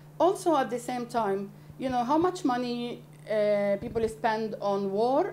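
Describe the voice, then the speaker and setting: A woman speaks with an Arabic accent. Her pitch swings very widely. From Palestinian refugee camp in Beirut, Lebanon. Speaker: NGO founder. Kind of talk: interview answer.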